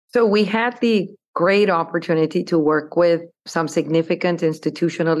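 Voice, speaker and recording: Moderately paced speech from a woman with a Spanish accent and ordinary pitch variation. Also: quiet background. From Colombia (Bogota). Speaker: investment firm CEO. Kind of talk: interview.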